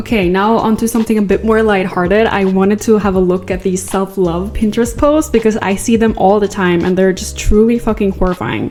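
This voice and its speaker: A woman speaking at a fairly quick pace with hardly any pauses, over background music. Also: medium pitch for a woman. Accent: non-native. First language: not English. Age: 20s. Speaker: content creator. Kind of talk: casual video essay. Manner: animated.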